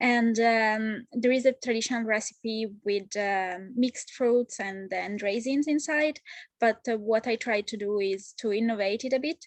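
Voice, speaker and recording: A woman with an Italian accent speaks at a fairly high pitch with fairly even intonation. The sound is dry and close with no echo, and she leaves hardly any pauses. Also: fairly slow pace. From Italy, Genoa. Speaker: home baker. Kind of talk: interview. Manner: halting.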